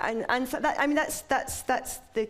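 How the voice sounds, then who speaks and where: A woman talking at a very fast pace with ordinary pitch variation, over noticeable background noise. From England. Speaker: writer. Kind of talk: interview conversation. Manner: halting.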